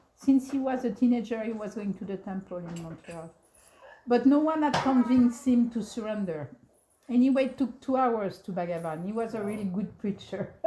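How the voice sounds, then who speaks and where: A woman with a French accent speaks at a moderate pace and a fairly high pitch. Her loudness swings a lot. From France, then Canada from age 13. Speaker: devotee recalling memories. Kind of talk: storytelling talk. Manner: halting.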